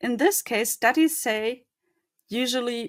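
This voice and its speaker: This woman's speech carries a non-native accent. Her intonation moves in a lively way. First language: not English. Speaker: conference speaker. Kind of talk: conference talk. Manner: halting.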